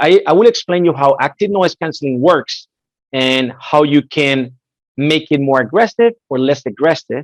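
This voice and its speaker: At a moderate pace, a man with a Spanish accent and a fairly high pitch uses lively intonation, heard in a dry, close sound with no echo. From Spain, Madrid. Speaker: headset product specialist. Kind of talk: webinar presentation. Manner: animated.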